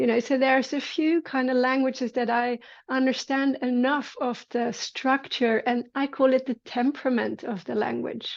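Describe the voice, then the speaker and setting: With a Dutch accent, a woman talks in a high pitch with fairly even intonation and hardly any pauses against a quiet background. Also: moderate pace. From Netherlands. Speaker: movement teacher. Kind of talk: casual conversation.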